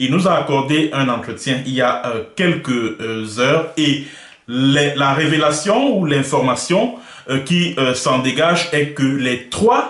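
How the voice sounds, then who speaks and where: Against noticeable background noise and audible room echo, a man talks at a very slow pace with a fairly high pitch and ordinary pitch variation. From Cameroon. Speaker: web journalist, interviewer. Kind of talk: interview. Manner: hesitant, many filler sounds.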